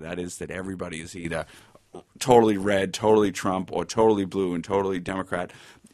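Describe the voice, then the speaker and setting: Over a quiet background, a man with a very deep, low pitch races along at a very fast pace with fairly even intonation. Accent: Boston. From Boston, US (East Milton). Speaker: law lecturer and author. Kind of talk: interview.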